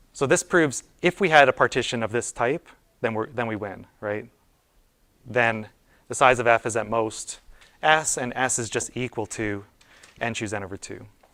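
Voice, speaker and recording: In a dry, close sound with no echo, a man with a bright, sharp tone speaks with long, frequent pauses. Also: medium pitch for a man, ordinary pitch variation. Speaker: university lecturer. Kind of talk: lecture. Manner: fast; casual, many fillers and restarts.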